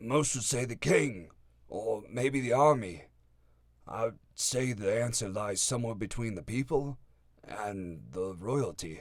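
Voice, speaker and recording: Putting on a character voice, a man speaks raspily at a fairly slow pace and medium pitch with ordinary pitch variation, recorded very cleanly against a silent background. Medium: read story. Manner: stammering.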